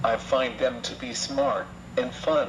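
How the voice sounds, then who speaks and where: The pace of this man's speech is very slow. Noticeable background noise runs underneath. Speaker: laryngectomy survivor and anti-smoking speaker. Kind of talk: testimony. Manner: slow, halting device speech.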